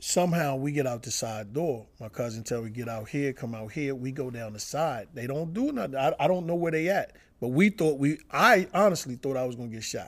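With an American accent, a normal speaking voice moves at a fairly quick pace with lively intonation. There are hardly any pauses. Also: man, fairly high pitch for a man. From Washington DC area and northern Virginia. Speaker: stand-up comedian. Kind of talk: casual interview.

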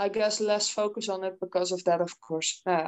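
A woman with a Dutch accent speaks with ordinary pitch variation. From Netherlands. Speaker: heavy metal singer. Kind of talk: casual interview.

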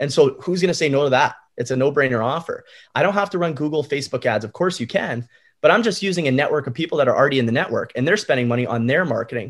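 In a very clean recording with a silent background, a man speaks very fast with a Canadian accent. His voice is fairly high and somewhat breathy, with lively intonation. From Calgary, western Canada. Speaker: short-term rental entrepreneur. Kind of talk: podcast interview.

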